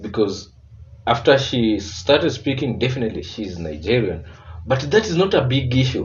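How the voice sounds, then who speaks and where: A man speaks with a Kenyan accent in a somewhat breathy voice, his pitch swinging very widely. Room echo is audible. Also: medium pitch for a man, moderate pace. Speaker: reaction video creator. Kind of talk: reaction commentary.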